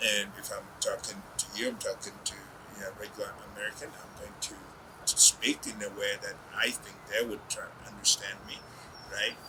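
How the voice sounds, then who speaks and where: Speech at a moderate pace shows big swings in loudness over noticeable background noise. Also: man. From Uganda. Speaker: business executive. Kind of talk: interview.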